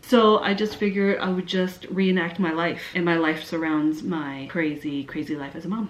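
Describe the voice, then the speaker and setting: A woman's fairly low voice with a Canadian accent, amid noticeable background noise. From Canada. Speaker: YouTuber. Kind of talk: Q&A vlog. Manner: animated.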